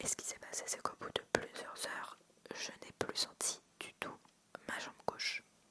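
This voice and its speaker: A whispering woman over noticeable background noise. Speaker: ASMR creator. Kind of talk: ASMR storytelling, personal birth anecdotes told close to the mic. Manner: soft-spoken, intimate, conversational.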